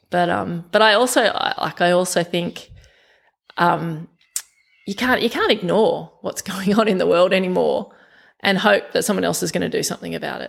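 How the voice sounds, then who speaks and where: In an Australian accent, a woman talks at a moderate pace. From Australia, western Sydney. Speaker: environmental group vice president. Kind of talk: casual interview. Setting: home kitchen. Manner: animated.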